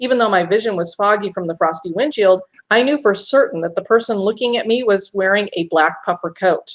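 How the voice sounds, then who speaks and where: A woman with an unremarkable speaking voice talks at a fairly quick pace and fairly high pitch, her intonation lively. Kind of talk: first-person ghost story narration.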